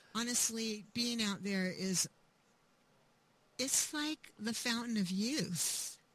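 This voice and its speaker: A woman's fairly high voice with lively intonation, very slow pace and long, frequent pauses, amid noticeable background noise. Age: 70s. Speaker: author. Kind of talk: interview.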